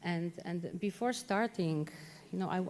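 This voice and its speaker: In a Polish accent, a woman speaks at a fairly slow pace with a medium pitch and a dark, mellow tone. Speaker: policy officer. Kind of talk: conference talk. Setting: conference hall. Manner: halting, many repeated words.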